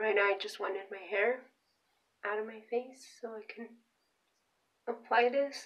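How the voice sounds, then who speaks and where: A woman with a fairly high pitch talks at a moderate pace in a flat monotone, with long, frequent pauses and big swings in loudness. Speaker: beauty vlogger. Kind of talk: product review vlog. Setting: bathroom. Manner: casual, conversational.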